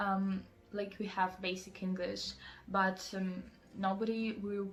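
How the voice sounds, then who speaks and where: A woman with a Russian accent speaks at a moderate pace and a medium pitch. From Russia, Moscow. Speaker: student vlogger. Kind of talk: advice vlog. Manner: many fillers (um, like).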